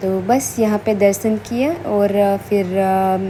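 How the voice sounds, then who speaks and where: Noticeable background noise sits behind a woman speaking at a medium pitch with fairly even intonation. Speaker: family vlogger. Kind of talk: travel vlog narration. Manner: hesitant with many fillers.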